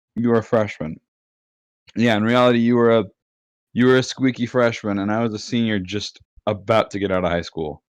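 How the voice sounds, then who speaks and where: Over a quiet background, a man speaks in a plain, everyday voice at fairly low pitch and a moderate pace. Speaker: gamer and online friend. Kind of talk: casual chat.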